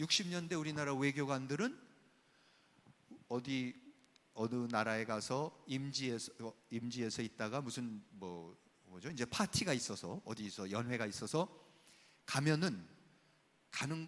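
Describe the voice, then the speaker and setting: A man with a medium-pitched voice speaks at a fairly slow pace with lively intonation and long, frequent pauses, in a very clean recording with a silent background. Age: 60s. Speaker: professor. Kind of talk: lecture. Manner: animated.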